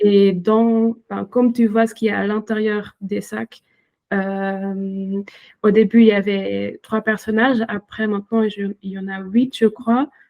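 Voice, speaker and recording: A woman with a non-native accent speaks at a very slow pace in a medium pitch, her intonation flat and monotone while her loudness swings widely, recorded dry and close with no echo. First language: not French (speaking French). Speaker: illustrator and author. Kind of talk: interview. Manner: halting, many hesitations.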